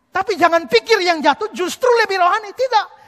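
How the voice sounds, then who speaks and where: Against a quiet background, a man talks at a fairly quick pace in a bright, sharp, animated tone. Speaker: preacher. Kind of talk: sermon. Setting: church with congregation. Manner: animated, emphatic preaching; argumentative, citing scripture verses. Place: church. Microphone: headset.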